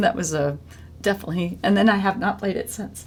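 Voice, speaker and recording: A woman of medium pitch talks while noticeable background noise carries on behind her. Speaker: podcast host and musician. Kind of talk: casual interview chat. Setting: on a porch. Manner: halting, many fillers.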